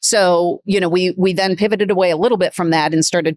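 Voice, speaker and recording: In a Midwestern accent, a woman talks very fast with fairly even intonation, and the sound is dry and close with no echo. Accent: Midwestern, noticeable vowels. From US Midwest. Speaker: business executive. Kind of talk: podcast interview.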